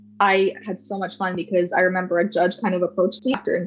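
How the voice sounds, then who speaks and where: A woman talks at a very fast pace in a medium-pitched voice. Music plays in the background. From Canada, First Nation community in New Brunswick. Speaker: pageant title holder. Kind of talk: interview. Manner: animated.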